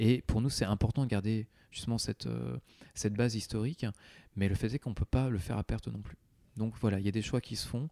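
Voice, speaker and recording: At a fairly quick pace yet with long, frequent pauses, a man speaks in a dark, mellow tone with fairly even intonation and a dry, close sound with no echo. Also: medium pitch for a man. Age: 30s. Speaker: comics editorial director. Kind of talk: interview. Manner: halting.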